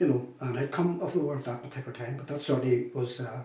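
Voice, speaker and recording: A man with a Northern Irish accent, talking at a fairly quick pace. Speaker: former republican prisoner. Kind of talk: testimony.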